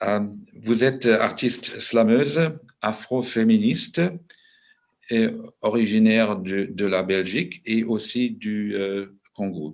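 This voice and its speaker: A man with a German accent speaks at a very slow pace with a fairly low pitch and ordinary pitch variation. He leaves long, frequent pauses. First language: German (speaking French). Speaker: moderator and translator. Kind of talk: panel discussion moderation. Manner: slow, halting with many hesitations.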